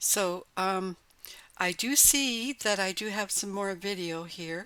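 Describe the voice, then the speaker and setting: A woman's bright, sharp tone. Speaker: pet channel creator. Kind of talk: casual monologue. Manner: slow. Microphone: mic very close to mouth, breathing audible.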